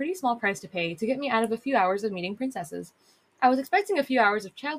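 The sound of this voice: The clip has an unforced reading voice. Its intonation is lively.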